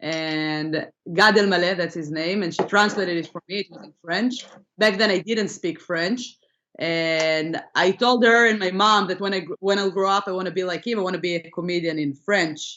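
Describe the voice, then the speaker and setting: A woman with an Israeli accent at a moderate pace. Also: medium pitch for a woman, ordinary pitch variation. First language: Hebrew. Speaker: comedian. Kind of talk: interview.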